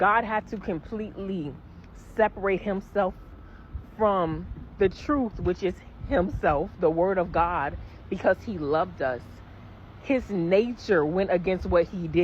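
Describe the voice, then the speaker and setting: A woman's somewhat breathy, medium-pitched voice with ordinary pitch variation, at a fairly slow pace with long, frequent pauses. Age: 20s. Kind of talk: casual faith testimony to camera.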